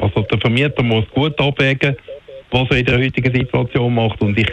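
Noticeable background noise surrounds a man who talks at a very fast pace. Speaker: lawyer for homeowners association. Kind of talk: radio interview. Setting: phone call.

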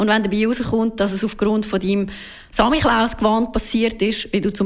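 Speaking at a moderate pace, a woman with a Swiss accent has a fairly high pitch. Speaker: consumer car expert. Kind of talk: radio interview. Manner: casual, explanatory.

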